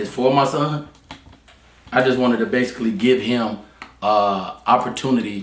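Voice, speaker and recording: Over noticeable background noise, the speaker talks at a moderate pace in a Southern US accent with ordinary pitch variation. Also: man. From Charlotte, North Carolina. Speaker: barber. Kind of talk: interview answer.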